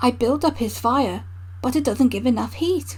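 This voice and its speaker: Through noticeable background noise, a put-on character voice goes along at a moderate pace. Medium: read story. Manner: polite, matter-of-fact.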